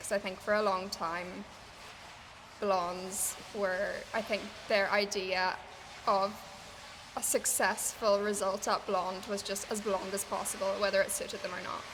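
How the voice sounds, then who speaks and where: A woman speaks slowly, with long, frequent pauses, in an Irish accent. Her medium-pitched voice stays monotone and flat. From Ireland. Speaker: hairstylist. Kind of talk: interview answer.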